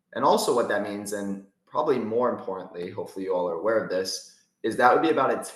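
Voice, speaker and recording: There is audible echo from the room around this man's speech. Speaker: crypto investing YouTuber. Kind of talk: casual market update to camera. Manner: animated.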